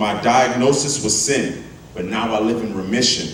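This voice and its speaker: A medium-pitched man at a moderate pace with lively intonation, over noticeable background noise. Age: young. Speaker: spoken word poet at a church conference. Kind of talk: spoken word poetry performance, rhythmic and rhyming, preaching tone.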